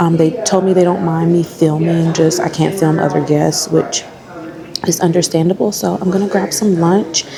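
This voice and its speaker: A woman is whispering at a moderate pace over noticeable background noise. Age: 30s. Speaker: travel vlogger. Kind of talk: vlog monologue. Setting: resort restaurant.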